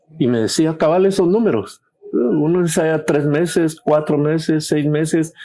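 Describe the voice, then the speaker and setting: With a Guatemalan accent, a man talks at a fairly slow pace and a fairly high pitch, his loudness very even throughout. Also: ordinary pitch variation. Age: 60s. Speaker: painter. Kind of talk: casual chat.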